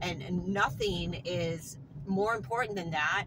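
Speaking at a fairly slow pace, a woman is heard over noticeable background noise. The sound is dry, with no echo. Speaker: vlogger. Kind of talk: casual vlog chat. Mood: earnest, reflective, somewhat frustrated. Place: car. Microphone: phone near.

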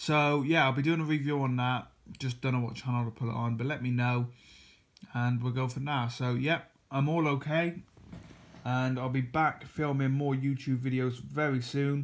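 A man delivers his words with monotone, flat intonation, keeping a moderate pace. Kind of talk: casual vlog chat. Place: home room. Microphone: phone near.

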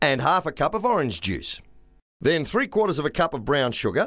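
The recording is very clean, with a silent background. The voice makes big pitch swings in a fairly bright tone. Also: man, fairly high pitch for a man, moderate pace.

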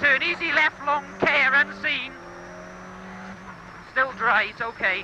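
Very slow speech in a dry sound with no echo, with noticeable background noise. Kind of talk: pace note calls. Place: car. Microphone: headset.

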